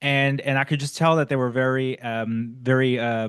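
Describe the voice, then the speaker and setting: Over a quiet background, a man with an American accent talks at a moderate pace and medium pitch, his intonation fairly even. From United States. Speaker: podcast host. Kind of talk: casual conversation. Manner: halting, many fillers and restarts.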